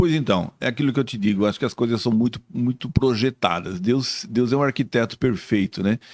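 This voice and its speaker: In a dry, close recording with no echo, a man with a normal speaking voice and medium pitch speaks at a fairly quick pace, with ordinary pitch variation and hardly any pauses. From southern Brazil, Blumenau (Santa Catarina). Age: 60s. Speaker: author and lay church leader. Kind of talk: podcast interview.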